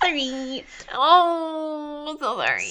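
A put-on character voice rises to a high pitch. Light background noise sits behind it. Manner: insincere, fake-sympathetic.

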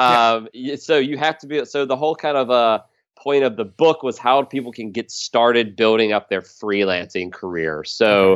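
In a plain, everyday voice, a man with an American accent speaks at a medium pitch and moderate pace with ordinary pitch variation. The sound is dry and close with no echo, against a quiet background. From US South, South Carolina near Charlotte. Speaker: digital marketing consultant and trained musician. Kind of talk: interview conversation.

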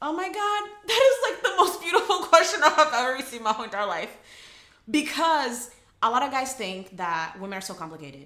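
A woman's raised, projected voice, high in pitch and fairly quick, with very wide pitch swings and big swings in loudness. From Rio de Janeiro, Brazil. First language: Portuguese. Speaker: attorney. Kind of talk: casual interview chat.

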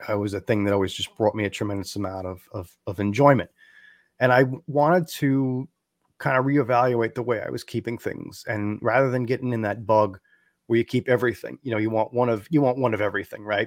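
In an unremarkable speaking voice, a man talks at a fairly quick pace and medium pitch with ordinary pitch variation, recorded dry and close with no echo, very cleanly against a silent background. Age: 40s. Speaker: amphibian podcast host and frog keeper. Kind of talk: casual interview.

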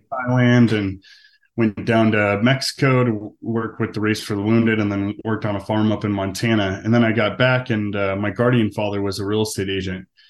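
Over a quiet background, a man with an American accent talks fairly quickly in a fairly low pitch, his intonation flat and monotone. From Arizona, US. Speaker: real estate agent. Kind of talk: interview, casual business chat.

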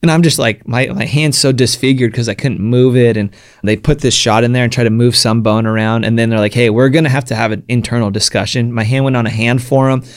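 A man with a plain, everyday voice, medium in pitch, fairly even in intonation, at a fairly quick pace. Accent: American. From Southern California (San Diego). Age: 30s. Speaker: pro action sports athlete. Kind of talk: interview conversation.

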